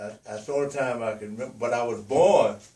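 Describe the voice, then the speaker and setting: This is a man speaking. He has a Louisiana accent. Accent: Louisiana Southern US. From US South, northern Louisiana. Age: 80s+. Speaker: elderly interviewee. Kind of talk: oral history interview. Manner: halting, many fillers.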